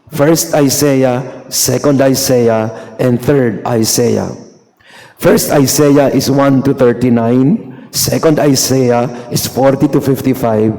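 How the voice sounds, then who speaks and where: A man's medium-pitched voice, very slow and fairly even in intonation, with audible room echo. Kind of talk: sermon. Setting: church Mass. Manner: Taglish code-switching, conversational.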